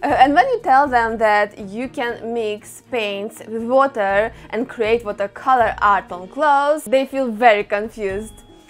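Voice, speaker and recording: Light background noise sits under a woman's voice. She talks fairly slowly with ordinary pitch variation. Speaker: craft channel host. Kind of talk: tutorial. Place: home room. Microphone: lapel.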